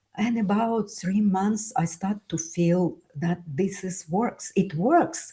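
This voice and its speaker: Speaking very slowly, a woman has a Russian accent and a medium pitch. Her tone is dark, mellow and somewhat breathy. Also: ordinary pitch variation. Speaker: author and immigrant speaker. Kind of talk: interview conversation. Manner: halting, many fillers.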